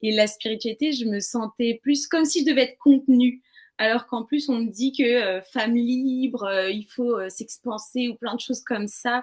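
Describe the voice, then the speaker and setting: Her pitch sits high for a woman and varies in an ordinary way. She talks at a moderate pace. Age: 20s. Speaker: interviewee sharing personal experiences. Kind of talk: testimony. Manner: casual, hesitant.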